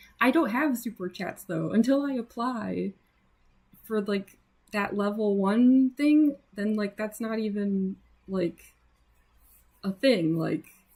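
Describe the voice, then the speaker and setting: With an American accent and a somewhat breathy voice, a woman of fairly high pitch speaks at a very slow pace, leaving long, frequent pauses. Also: ordinary pitch variation. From US Midwest. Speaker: artist livestreamer. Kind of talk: casual livestream chat while drawing. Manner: casual, many fillers.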